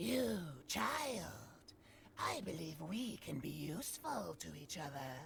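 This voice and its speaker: A put-on character voice speaks at a fairly slow pace with long, frequent pauses. Clear background noise is present. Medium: video game. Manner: sly, insinuating, whispery.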